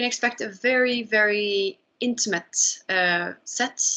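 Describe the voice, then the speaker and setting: Speaking in a Norwegian accent, a woman uses a medium pitch and fairly even intonation. Her tone is bright and sharp. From Norway. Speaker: musician, band leader. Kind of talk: interview. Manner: hesitant, many fillers.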